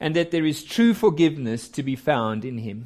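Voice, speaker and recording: A man speaks with lively intonation. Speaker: preacher. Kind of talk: sermon. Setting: church.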